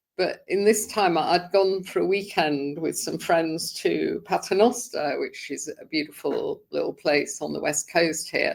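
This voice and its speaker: A woman speaks at a fairly slow pace. She leaves hardly any pauses. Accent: British. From England (London). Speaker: sobriety group founder. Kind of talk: podcast interview, personal story.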